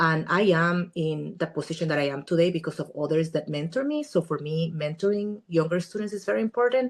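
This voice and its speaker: The speech runs at a fairly quick pace with hardly any pauses. Pitch variation is ordinary, and the background is quiet. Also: woman, fairly low pitch for a woman. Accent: Spanish. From Guatemala. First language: Spanish. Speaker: immigration attorney. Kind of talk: podcast interview.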